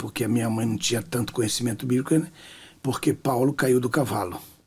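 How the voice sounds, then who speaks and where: Somewhat breathy, a man speaks at a medium pitch and a fairly quick pace. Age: 60s. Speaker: pastor and author. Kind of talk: testimony in interview.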